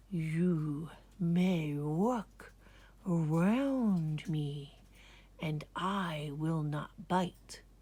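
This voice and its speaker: A put-on character voice, hissing, at a middle pitch and a very slow pace. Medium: read story.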